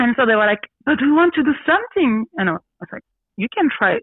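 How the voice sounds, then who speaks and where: A woman with a Belgian French accent speaks with lively intonation. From Belgium (born Brussels, grew up in a village). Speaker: radio host and actress. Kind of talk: testimony. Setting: video call. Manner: animated, frequently laughing.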